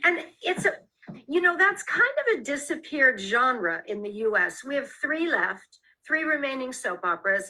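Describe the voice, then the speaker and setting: A woman's raised, projected voice with an American accent, high in pitch and bright, sharp in tone, at a moderate pace with very wide pitch swings. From US Midwest, Detroit. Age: 60s. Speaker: author and former actress. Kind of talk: interview.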